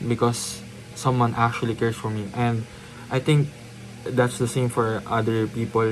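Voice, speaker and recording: Noticeable background noise sits under a man speaking at a medium pitch and moderate pace in a flat monotone. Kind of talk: casual talk to camera. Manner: hesitant, many filler words.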